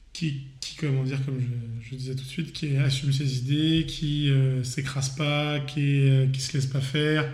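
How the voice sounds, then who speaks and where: Fairly slow, monotone delivery with flat intonation and audible room echo. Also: man, fairly high pitch for a man. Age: 30s. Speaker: podcast guest. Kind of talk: casual debate.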